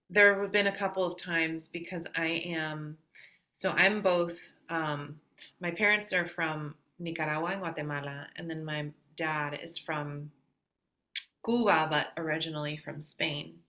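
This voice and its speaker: A bright, sharp tone with a Midwestern accent. The pace is fairly slow. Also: woman, fairly low pitch for a woman. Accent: very Midwestern American. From US Midwest. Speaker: singer-songwriter. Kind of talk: podcast interview. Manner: halting, many fillers.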